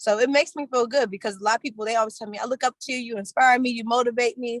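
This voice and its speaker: A woman with an American accent speaks at a high pitch and a very fast pace. Her intonation is fairly even, and the sound is dry and close with no echo. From Washington DC. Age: 20s. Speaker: credit repair educator and barber. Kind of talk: casual interview.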